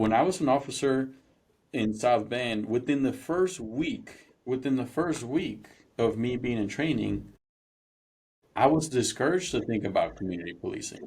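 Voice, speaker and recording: Here a man speaks with a Spanish accent at a moderate pace. His pitch is medium and his intonation lively. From Mexico, then Indiana from age 13. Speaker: former police officer, police culture trainer. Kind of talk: podcast interview.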